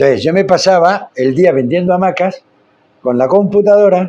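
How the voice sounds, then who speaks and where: At a fairly quick pace, a man with a high pitch and a dark, mellow tone speaks with ordinary pitch variation. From Spain. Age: 60s. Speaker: founder of social inclusion projects. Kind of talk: podcast interview.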